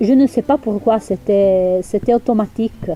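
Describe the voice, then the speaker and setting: Over noticeable background noise, a woman with medium pitch talks at a very slow pace with ordinary pitch variation. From Val Pellice, Piedmont, Italy. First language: English (speaking French). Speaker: local resident. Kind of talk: interview testimony.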